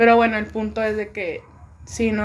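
A woman speaks at a fairly quick pace. Her intonation stays monotone and flat. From Tijuana, Mexico. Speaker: music composition student. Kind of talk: casual chat.

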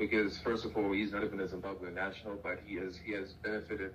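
Audible room echo surrounds a man talking at a very fast pace. His fairly low voice has monotone, flat intonation. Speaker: podcast guest. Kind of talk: casual chat.

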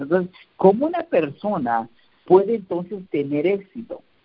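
A man keeps a moderate pace while his intonation stays lively. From Mexico, Oaxaca. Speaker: network marketing team leader. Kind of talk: motivational team call. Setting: conference call. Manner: halting, many fillers.

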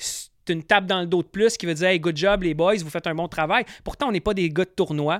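Recorded very cleanly with a silent background and a dry, close sound with no echo, a man with a Quebec accent talks at a fairly quick pace and a high pitch with ordinary pitch variation. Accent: Québécois French. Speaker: fishing podcast host. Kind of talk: casual chat.

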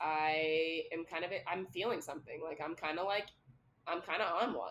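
A woman speaks at a moderate pace in an unremarkable speaking voice, fairly low in pitch with fairly even intonation. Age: 20s. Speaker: podcast co-host. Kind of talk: casual chat.

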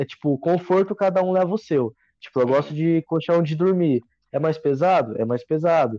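Dark and mellow in tone, this man's voice sits fairly high in pitch. His pitch varies in an ordinary way. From Minas Gerais, Brazil. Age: 20s. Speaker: hiker. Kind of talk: casual chat.

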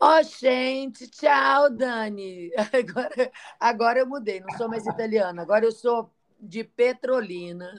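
In a northeastern Brazilian accent, a woman speaks at a fairly slow pace with a fairly high pitch and lively intonation. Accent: put-on northeastern Brazilian. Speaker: podcast co-host. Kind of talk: casual chat. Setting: traveling, on location.

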